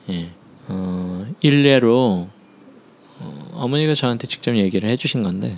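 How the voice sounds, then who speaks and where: The speaker talks at a very slow pace with very wide pitch swings and long, frequent pauses. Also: man, medium pitch for a man. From Seoul, South Korea. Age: 30s. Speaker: choreographer. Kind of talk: life-story interview. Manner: halting.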